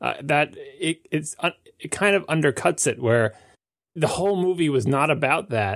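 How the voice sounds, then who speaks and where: In a very clean recording with a silent background, a man with an American accent speaks at a moderate pace, using lively intonation, vocal fry and a fairly high pitch. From US Northeast, Long Island. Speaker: podcast panelist. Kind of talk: casual chat.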